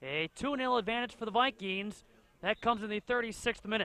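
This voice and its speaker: Raising and projecting his voice, a man at extremely high pitch speaks at a moderate pace with a bright, sharp tone, in a dry, close sound with no echo. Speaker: soccer play-by-play commentator. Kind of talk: live sports commentary over match highlights. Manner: clipped, urgent calls of names and shots.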